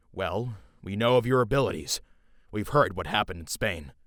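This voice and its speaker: Putting on a growling character voice, a man speaks at a fairly quick pace with a fairly low pitch and lively intonation. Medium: machinima. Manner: businesslike, measured.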